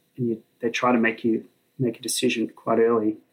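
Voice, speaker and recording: A man's medium-pitched voice at a moderate pace. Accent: Australian. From Sydney, Australia. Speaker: flight test engineer. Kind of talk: casual chat. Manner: halting.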